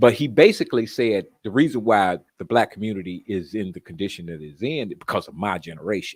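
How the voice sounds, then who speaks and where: Speaking at a very fast pace with hardly any pauses, a man uses a fairly low pitch and lively intonation, his loudness swinging widely. The recording is very clean, with a silent background. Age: 60s. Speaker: caller on live stream. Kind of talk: casual discussion.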